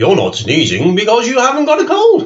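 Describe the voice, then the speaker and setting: Using a put-on character voice, a man speaks at an extremely high pitch and a fairly quick pace. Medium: read story. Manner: brisk, fussy.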